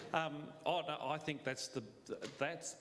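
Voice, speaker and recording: This man keeps to a moderate pace with noticeable background noise around him. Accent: Australian. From Australia, Italian migrant family. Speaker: panel guest. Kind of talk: panel discussion.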